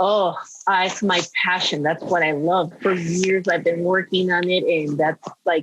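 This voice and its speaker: In a Spanish accent, a woman speaks fairly slowly at a fairly low pitch, with very even loudness. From Peru. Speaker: former model and screenwriter. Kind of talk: podcast interview. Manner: animated.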